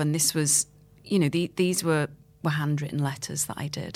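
A woman's very deep, low voice with fairly even intonation, in a very clean recording with a silent background. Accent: Liverpool. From Liverpool, England. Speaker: playwright and screenwriter. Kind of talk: interview.

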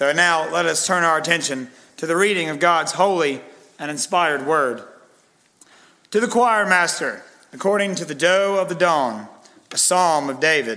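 The room echo is audible as a man talks at a moderate pace with long, frequent pauses. His pitch is high, with ordinary variation. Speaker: pastor. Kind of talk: sermon.

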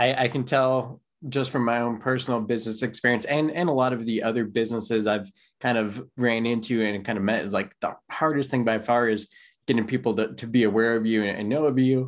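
A man with a normal speaking voice talks at a fairly quick pace at medium pitch. His intonation is fairly even, and the background is quiet. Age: 30s. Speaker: podcast host and financial planner. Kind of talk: interview.

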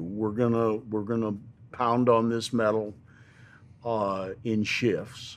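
Speaking very slowly, a man talks. He has an American accent. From US Northwest, outskirts of Seattle, Washington. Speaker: retired military pararescueman. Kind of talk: interview storytelling. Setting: in-person recording with camera.

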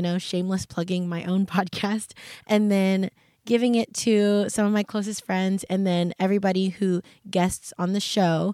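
With an American accent, a woman speaks at a moderate pace in a dark, mellow, medium-pitched voice with monotone, flat intonation, on a very clean recording with a silent background. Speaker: podcast host. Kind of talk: casual solo podcast chat. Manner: casual, self-deprecating.

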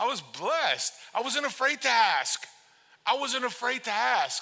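A man speaks in an animated tone. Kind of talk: sermon to a congregation, with a call-and-response to the audience. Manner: animated, conversational, repeats words for emphasis, with laughs and punchy commands; warm and urgent, moves from pleading to playful to firm.

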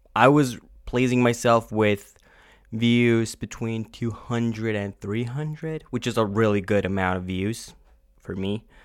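The recording is very clean, with a silent background. A man talks at a very slow pace, his medium-pitched voice showing ordinary pitch variation. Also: long, frequent pauses. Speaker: podcaster and youtuber. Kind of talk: casual solo monologue, personal vlog-style. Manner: halting, hesitant, filled with ums and restarts; emotional, low-energy, candid.

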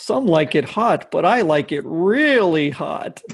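This put-on character voice sits at a middle pitch and moves at a fairly slow pace. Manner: boastful, playful.

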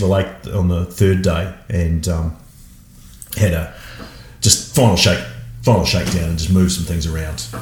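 Long, frequent pauses break up the speech of a man with an Australian accent and a very deep, low pitch, and audible echo fills the room. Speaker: marathon paddler. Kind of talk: casual chat. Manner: halting.

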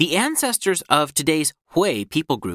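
The solemn tone comes at a moderate pace on a very clean recording with a silent background. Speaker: prayer guide host. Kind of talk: fervent intercessory prayer, read aloud in earnest petitions. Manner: earnest, solemn, measured with pauses between petitions.

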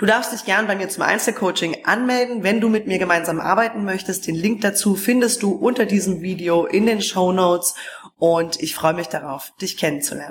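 A woman with an unremarkable speaking voice sits at a medium pitch, her pitch varying in an ordinary way. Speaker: spiritual coach. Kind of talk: guided meditation. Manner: slow, soothing, calm; gentle, hypnotic, drawn-out pacing.

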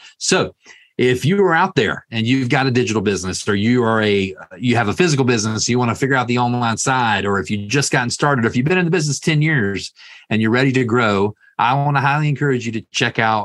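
Very fast, lively speech from a medium-pitched man with a Southern US accent. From US South. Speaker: podcast host. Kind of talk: interview.

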